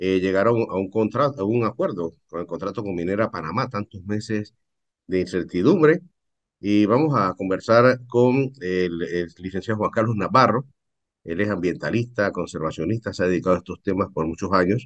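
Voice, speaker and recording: With a normal speaking voice, a man talks at a moderate pace, fairly low in pitch with ordinary pitch variation, over a quiet background. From Panama. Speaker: journalist, interviewer. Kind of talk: news interview, questions. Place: home room. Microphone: video call.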